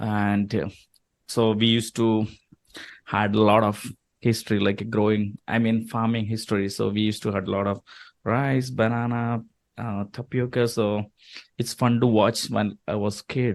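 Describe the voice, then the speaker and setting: Against a quiet background, a man with a Keralan accent speaks at a moderate pace in a fairly low pitch, with monotone, flat intonation and long, frequent pauses. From India, Kerala. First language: Malayalam. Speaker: chef and restaurant owner. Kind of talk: interview.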